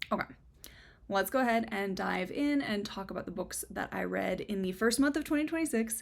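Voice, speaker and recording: Speaking in an American accent, a woman has a fairly high voice with lively intonation and some vocal fry, at a fairly quick pace. The recording is very clean, with a silent background. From US Midwest, Minnesota. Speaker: book reviewer, video creator. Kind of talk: personal statement on current events; book review monologue to camera. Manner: earnest, emotional.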